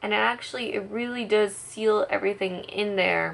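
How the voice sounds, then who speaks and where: The pace is fairly slow. The speaker is a woman. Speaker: beauty vlogger. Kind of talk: casual makeup tutorial talk to camera. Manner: chatty, many filler words. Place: home room. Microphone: phone near.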